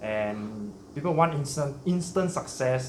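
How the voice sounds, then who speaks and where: There is audible room echo as a somewhat breathy man speaks with lively intonation. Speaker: shrimp hobby channel host. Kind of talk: casual interview chat.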